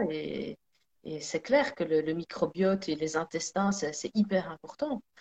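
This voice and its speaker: A woman's voice, very slow in pace, with lively intonation and a dry, close sound lacking echo. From Belgium, Sicilian parents. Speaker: energy therapist and singer. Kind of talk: casual chat. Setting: live video stream.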